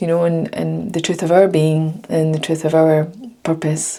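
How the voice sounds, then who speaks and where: Against noticeable background noise, a woman with a fairly low pitch talks at a fairly quick pace. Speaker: lifestyle vlogger. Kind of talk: casual monologue to camera.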